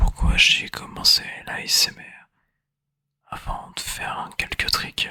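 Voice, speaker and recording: Whispering at a very slow pace, a man leaves long, frequent pauses, and his loudness swings widely. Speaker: new ASMR creator. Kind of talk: ASMR whisper introduction. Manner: whispered, soft-spoken.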